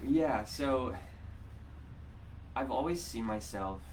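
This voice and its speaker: With an American accent, a man talks at a very slow pace, taking long, frequent pauses. His pitch swings very widely, and the room echo is audible. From Ohio. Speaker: teacher and local sustainability council member. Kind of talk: live-streamed interview. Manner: hesitant, many fillers.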